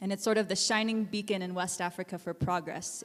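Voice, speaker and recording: A woman with an American accent and an unremarkable speaking voice, medium pitch, moderate pace. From Alaska. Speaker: nonprofit founder and educator. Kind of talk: guest talk.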